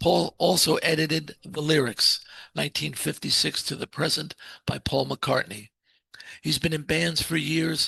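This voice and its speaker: The recording of this man is dry and close, without any echo. He talks at a fairly slow pace. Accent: American. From New Jersey, US. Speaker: podcast host. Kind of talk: interview; scripted introduction.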